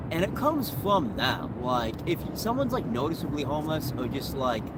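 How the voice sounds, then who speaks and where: Noticeable background noise and audible room echo surround this speaker. He is a man with lively intonation and a fairly high pitch. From New England (Vermont and Maine). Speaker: homeless man. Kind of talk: street interview. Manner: hesitant, filler-heavy speech.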